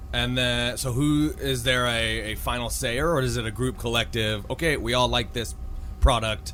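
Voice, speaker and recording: A man at a moderate pace, with audible room echo. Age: 30s. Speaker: podcast host. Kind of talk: interview. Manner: casual.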